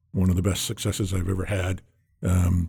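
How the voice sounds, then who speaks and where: A somewhat breathy man with an American accent. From Massachusetts, North Shore of Boston. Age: 60s. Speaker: seafood industry executive. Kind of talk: casual interview.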